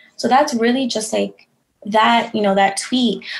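Somewhat breathy, a woman talks with an American accent. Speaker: creative agency founder. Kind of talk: casual chat.

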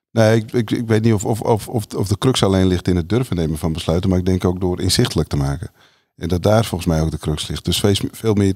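A man's voice sits very deep and low. He speaks at a fairly quick pace. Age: 50s. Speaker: people manager and organisational development consultant. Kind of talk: casual chat. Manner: halting, many fillers and repetitions.

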